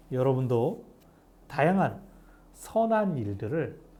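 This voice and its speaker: A man's somewhat breathy, dark and mellow voice, fairly high-pitched, with very wide pitch swings and audible room echo. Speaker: pastor. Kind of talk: bible study lecture. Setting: cold recording room. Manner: fast.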